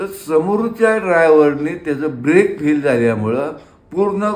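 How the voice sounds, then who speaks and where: Through noticeable background noise, a man's high-pitched voice carries lively intonation. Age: 70s. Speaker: retired bus driver. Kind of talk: interview answer.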